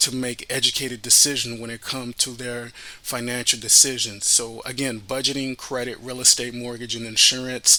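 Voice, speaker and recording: Flat, monotone intonation comes with a Haitian accent. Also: man. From Miami, Florida, Haitian family. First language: Haitian Creole. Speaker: radio host and financial advisor. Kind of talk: podcast introduction.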